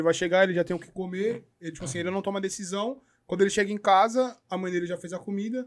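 A man talks at a very fast pace in a high voice with fairly even intonation. His loudness swings widely. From Brazil. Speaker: podcast host; podcast guest. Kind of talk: casual chat. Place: studio. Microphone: studio mic.

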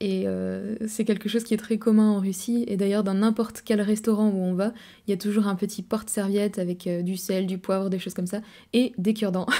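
A woman speaks at a fairly quick pace in a dark, mellow tone. Her intonation is monotone and flat, and the background is quiet. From France. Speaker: travel vlogger. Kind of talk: casual monologue to camera. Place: home room. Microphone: studio mic.

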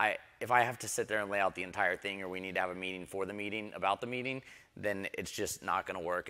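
Against a quiet background, a man's fairly low voice has a bright, sharp tone and fairly even intonation. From Houston area, Texas; Texas. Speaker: tech startup CEO; panelist. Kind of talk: panel discussion. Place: stage. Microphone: lapel.

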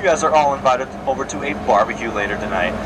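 With loud background noise in the mix, a man speaks at a moderate pace. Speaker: tour guide. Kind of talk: tour guide commentary. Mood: joking, playful. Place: boat.

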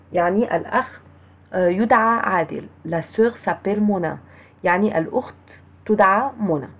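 A woman with an Egyptian accent at a medium pitch and a fairly slow pace, with ordinary pitch variation and long, frequent pauses. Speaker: French teacher. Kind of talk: lecture.

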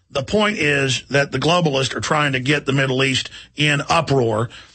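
A man with an American accent, lively intonation, and a moderate pace over noticeable background noise. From Texas. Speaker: radio host. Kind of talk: political rant. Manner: loud, ranting.

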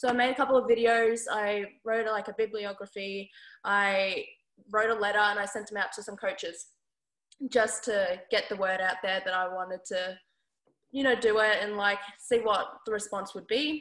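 A woman speaks at a moderate pace in an Australian accent, with fairly even intonation. Audible room echo sits over a quiet background. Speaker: basketball player. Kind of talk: interview. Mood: relaxed, friendly. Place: home room. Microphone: video call.

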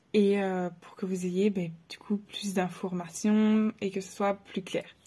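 In a quiet background, a woman with a dark, mellow, somewhat breathy tone speaks at a fairly slow pace with fairly even intonation. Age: 20s. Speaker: photographer and videographer. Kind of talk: self-introduction to camera. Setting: face cam video. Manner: hesitant with many fillers. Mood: friendly, slightly nervous. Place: home room. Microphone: phone near.

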